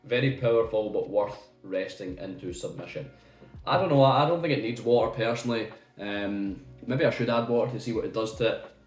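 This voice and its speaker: Music plays in the background as a man with a medium pitch and ordinary pitch variation talks at a fairly quick pace, with audible room echo. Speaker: whisky reviewer. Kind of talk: product review. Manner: halting.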